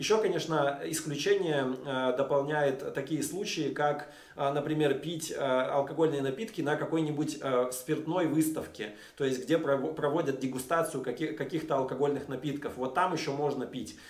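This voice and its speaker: Audible room echo surrounds the voice. The pace is moderate and the intonation fairly even. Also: man. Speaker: vlogger. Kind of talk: casual vlog talk to camera. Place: home room.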